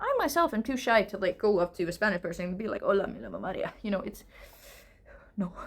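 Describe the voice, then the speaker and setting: Noticeable background noise is present. The speaker goes at a very fast pace with very wide pitch swings. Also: woman. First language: not English. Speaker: English teacher. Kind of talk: casual lecture answering viewer questions. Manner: hesitant, filler-heavy.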